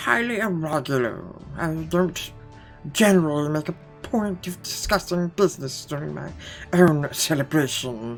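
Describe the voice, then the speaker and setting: Clear music plays behind a man using a put-on character voice with a fairly high pitch at a moderate pace. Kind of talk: formal, archaic. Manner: affected, aristocratic.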